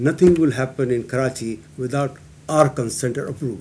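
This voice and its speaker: The tone is dark and mellow, somewhat breathy, with ordinary pitch variation. Light background noise sits underneath. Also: man. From Pakistan. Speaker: guest. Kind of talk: panel discussion. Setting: public meeting with audience. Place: meeting room. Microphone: podium.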